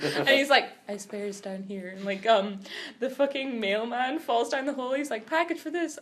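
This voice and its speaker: Speaking with an American accent at a moderate pace, a woman sounds animated, her pitch swinging very widely. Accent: American accent despite Scottish upbringing. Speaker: podcast co-host. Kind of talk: casual chat. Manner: animated storytelling.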